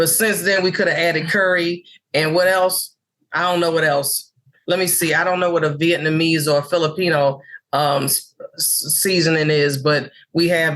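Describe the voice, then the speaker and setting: A woman with an American accent has a plain, everyday voice and a fairly low pitch. Her pace is moderate and her intonation fairly even. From New York City (Harlem). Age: 60s. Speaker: comedian. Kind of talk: interview chat.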